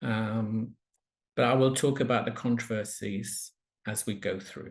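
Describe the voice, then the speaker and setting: Speaking at a fairly slow pace with fairly even intonation, a somewhat breathy man's voice swings widely in loudness. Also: medium pitch for a man. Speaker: palliative medicine professor. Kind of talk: lecture. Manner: slowed down on purpose.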